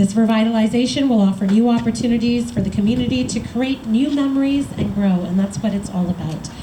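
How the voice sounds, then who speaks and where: A woman at a very fast pace with hardly any pauses, fairly high in pitch, amid noticeable background noise and audible room echo. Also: ordinary pitch variation. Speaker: member of parliament. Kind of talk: public speech. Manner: loud.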